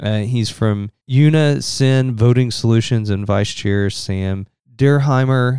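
A man's dark, mellow tone at medium pitch, very slow pace and ordinary pitch variation. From southern Indiana. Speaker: podcast host. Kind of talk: solo podcast commentary. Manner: casual, chatty.

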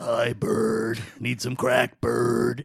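A man puts on a character voice at a medium pitch. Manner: raspy, pleading, mocking.

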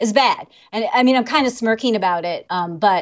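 Using a normal speaking voice, a woman with an American accent talks at a fairly quick pace with ordinary pitch variation. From US Midwest, Illinois. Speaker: lawyer and vaping advocate. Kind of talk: interview.

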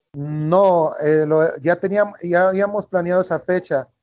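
The man's pitch shows ordinary variation. His pace is fairly slow. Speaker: missionary. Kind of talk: interview. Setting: outdoors on the street.

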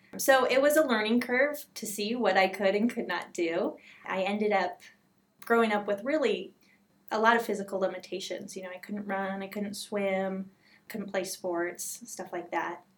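At a medium pitch and moderate pace, a woman talks in a normal speaking voice. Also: ordinary pitch variation. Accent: American. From Southern California. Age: 30s. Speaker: patient advocate. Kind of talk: interview.

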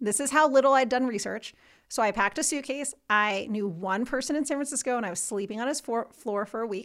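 A loud voice with a New Jersey accent moves at a fairly quick pace with lively intonation. The recording is very clean, with a silent background. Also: woman. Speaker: civil rights lawyer. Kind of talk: casual interview. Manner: fast talker; loud, assertive.

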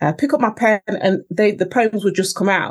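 At a fairly quick pace, a woman at medium pitch talks in an East Midlands accent with ordinary pitch variation. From Nottingham, England. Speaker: poet and spoken word artist. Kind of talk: poetry performance, read aloud; casual interview chat. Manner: measured, lyrical, expressive delivery.

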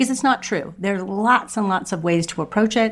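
A woman's unremarkable speaking voice, at a fairly quick pace with ordinary pitch variation. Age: 60s. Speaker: podcast host and writing coach. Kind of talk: casual interview chat.

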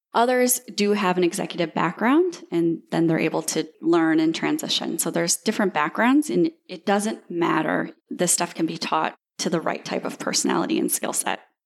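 Her fairly low voice has vocal fry and lively intonation as the woman talks with hardly any pauses. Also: moderate pace. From Iowa, US Midwest (Dubuque). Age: 30s. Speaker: virtual assistant agency founder. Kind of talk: interview.

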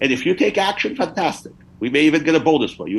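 A man speaks at a moderate pace with very wide pitch swings. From Afghanistan. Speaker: academic and Marine veteran.

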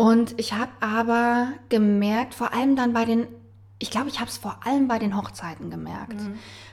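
A woman talks in a monotone, flat intonation at a moderate pace. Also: fairly high pitch for a woman, big swings in loudness. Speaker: wedding officiant and actress. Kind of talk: casual chat.

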